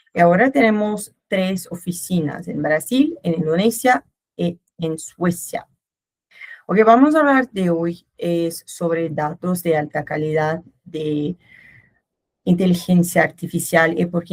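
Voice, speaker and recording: Somewhat breathy, the voice carries a Brazilian accent and ordinary pitch variation. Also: woman. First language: Portuguese (speaking Spanish). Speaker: company manager. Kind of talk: webinar presentation. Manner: hesitant, with filler sounds.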